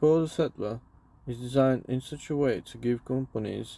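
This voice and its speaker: The voice has a dark, mellow tone and fairly even intonation. It moves at a moderate pace. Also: man. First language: not English. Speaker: crypto YouTuber. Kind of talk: reading aloud. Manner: halting.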